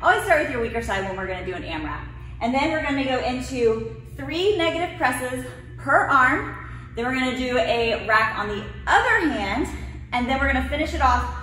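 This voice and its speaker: Light background noise sits under audible room echo. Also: woman. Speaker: fitness coach. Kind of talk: workout instruction. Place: gym.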